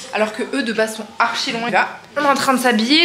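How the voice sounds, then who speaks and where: Noticeable background noise and audible room echo accompany a woman speaking at a high pitch with ordinary pitch variation. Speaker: lifestyle vlogger. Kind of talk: casual vlog. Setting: outdoors.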